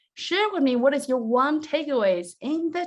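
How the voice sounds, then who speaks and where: A woman with a Chinese accent talks at a moderate pace, her pitch swinging very widely. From China, rural mountain village. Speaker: business coach. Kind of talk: online workshop presentation. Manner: animated.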